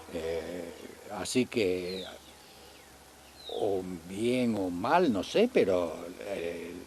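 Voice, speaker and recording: This man speaks with a very deep, low pitch. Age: 80s+. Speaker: elderly local resident recalling town history. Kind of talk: oral history interview. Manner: halting, with many repetitions.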